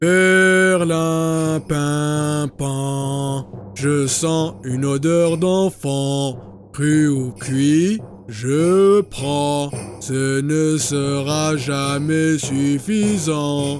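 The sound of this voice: Using a put-on character voice with fairly high pitch, a man speaks at a very slow pace amid clear background noise.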